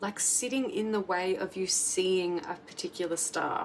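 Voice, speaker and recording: The speaker is female. She talks at a medium pitch. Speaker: tarot reader. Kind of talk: tarot reading monologue. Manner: casual, filler-heavy.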